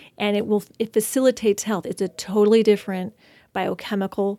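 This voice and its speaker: A woman's ordinary speaking voice at medium pitch, fairly quick pace, very clean recording with a silent background. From Washington State, San Juan Islands. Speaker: acupuncturist. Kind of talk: casual interview.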